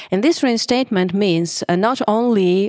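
This woman speaks in a Russian accent at a moderate pace with ordinary pitch variation. The recording is very clean, with a silent background. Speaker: labor lawyer. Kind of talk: podcast panel discussion.

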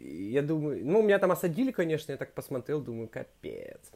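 Very wide pitch swings in a man's fairly high voice. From Urals, Russia (Verkhnyaya Pyshma near Yekaterinburg). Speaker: film director and producer. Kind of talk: interview, casual chat. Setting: remote call.

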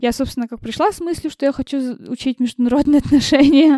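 A woman's high-pitched voice with a dark, mellow tone and ordinary pitch variation, at a very fast pace, in a dry, close sound with no echo. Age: 20s. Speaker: event manager. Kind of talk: casual interview.

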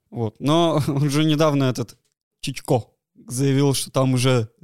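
Recorded with a dry, close sound and no echo, a man with an unremarkable speaking voice talks fairly slowly at medium pitch with ordinary pitch variation. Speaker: podcast co-host. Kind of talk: casual chat.

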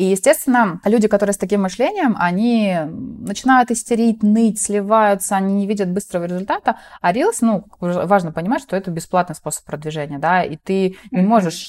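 Talking at a fairly quick pace with hardly any pauses, a woman has a normal speaking voice at medium pitch, ordinary pitch variation, and a dry, close sound with no echo. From southern Russia, rural Cossack village. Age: 30s. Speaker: entrepreneur. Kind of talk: interview conversation.

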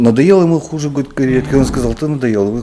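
A man speaks at a fairly quick pace with ordinary pitch variation. Noticeable background noise runs underneath. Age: 40s. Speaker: urbanism blogger. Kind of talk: interview.

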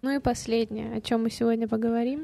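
Fairly high in pitch yet dark and mellow in tone, a woman's voice moves at a fairly quick pace with fairly even intonation. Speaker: podcast co-host. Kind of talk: casual chat.

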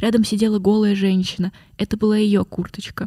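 This woman speaks at a medium pitch and moderate pace in a dark, mellow, somewhat breathy tone. The sound is dry and close, with no echo. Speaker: podcast guest. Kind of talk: casual chat.

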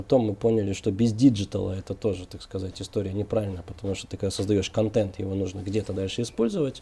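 Talking very fast, a man's fairly low, dark and mellow voice comes out somewhat breathy, with fairly even intonation and big swings in loudness. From Kazakhstan (Almaty), then Moscow region. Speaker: co-founder of a digital agency. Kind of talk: interview.

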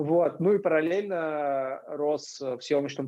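Ordinary pitch variation marks this man's fairly high-pitched voice, a plain, everyday voice. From Moscow, Russia. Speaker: extreme sports athlete and camera operator. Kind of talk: casual interview.

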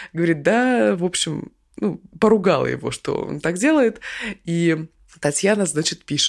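A woman speaks at a fairly slow pace in a fairly low voice, with vocal fry. Her pitch swings very widely. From Krasnoyarsk, Siberia. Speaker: podcast news co-host. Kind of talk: casual news discussion.

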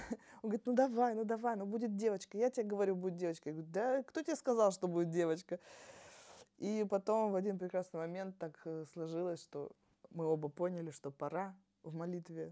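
A woman talks in a plain, everyday voice on a very clean recording with a silent background. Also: medium pitch for a woman, ordinary pitch variation. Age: 30s. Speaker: mother and HIV awareness blogger. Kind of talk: podcast interview.

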